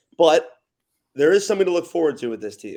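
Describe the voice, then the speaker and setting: A man with an American accent. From Los Angeles area, California. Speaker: college basketball public address announcer. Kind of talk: sports podcast guest analysis.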